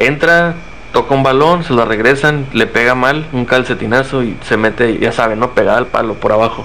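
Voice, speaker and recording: Here is a man with a plain, everyday voice at medium pitch. He keeps a moderate pace, ordinary pitch variation and very even loudness. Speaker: football podcast co-host. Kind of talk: casual chat. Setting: live stream.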